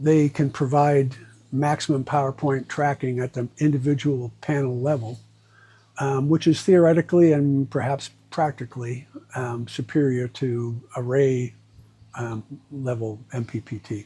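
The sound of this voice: A man speaks at medium pitch with a dark, mellow tone and a slightly husky edge. His intonation is fairly even and his pace fairly slow.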